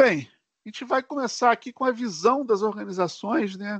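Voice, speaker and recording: A man in a Rio de Janeiro accent at a moderate pace, dry and close with no echo, over a quiet background. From Brazil, Rio de Janeiro. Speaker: tech solution architect presenter. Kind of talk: live webinar tutorial. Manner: casual, filler-heavy.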